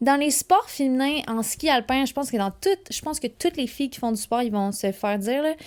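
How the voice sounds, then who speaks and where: A fairly quick, high-pitched woman's voice with lively intonation, on a very clean recording with a silent background. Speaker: alpine ski racer and podcast host. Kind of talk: casual solo podcast monologue. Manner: fast; animated.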